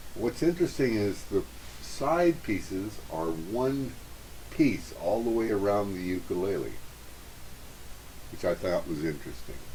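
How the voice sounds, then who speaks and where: A man's fairly low voice at a fairly slow pace, with very wide pitch swings and long, frequent pauses. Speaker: ukulele reviewer. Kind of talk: product review. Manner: hesitant with fillers.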